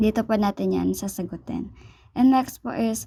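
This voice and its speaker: The speaker is a woman with a dark, mellow tone. She talks at a fairly slow pace. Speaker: church cell group leader. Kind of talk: Bible study instruction. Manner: halting.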